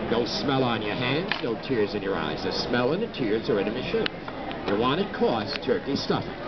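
A man speaks at a moderate pace. Loud background noise sits behind him. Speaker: fair pitchman. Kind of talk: live product demonstration pitch. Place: hall. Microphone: camera far.

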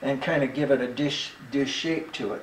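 A man speaks at a fairly slow pace. Some room echo can be heard. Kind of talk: casual workshop vlog explanation. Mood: relaxed, good-humored. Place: workshop. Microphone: camera far.

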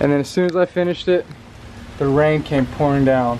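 The man talks at a fairly quick pace with ordinary pitch variation. Light background noise can be heard. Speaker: family vlogger. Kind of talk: casual vlog chat. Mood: satisfied, accomplished. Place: street. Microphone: phone near.

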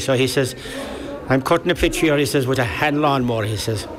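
Over noticeable background noise, a man with a Kerry accent speaks at a moderate pace, his medium pitch carried in fairly even intonation. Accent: Irish (Kerry). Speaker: local football league secretary. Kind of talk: interview reminiscence. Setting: outdoor event recording.

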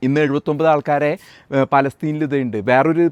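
A man's fairly high voice comes through with a dry, close sound and no echo. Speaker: YouTube commentator, US Army veteran. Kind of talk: political news commentary monologue. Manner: animated.

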